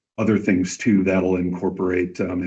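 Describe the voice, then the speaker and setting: A man speaks with a very deep, low pitch. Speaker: community event organizer. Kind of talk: public meeting presentation. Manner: loud. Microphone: far from the mic.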